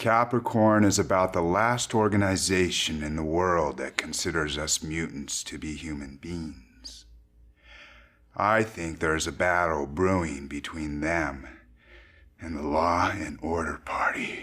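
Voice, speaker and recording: Very deep, low put-on character voice of a man, fairly slow in pace. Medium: video game. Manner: measured, wry.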